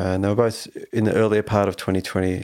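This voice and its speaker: A man with an Australian accent, fairly low-pitched, with fairly even intonation. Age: 50s. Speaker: rock guitarist. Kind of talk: casual interview.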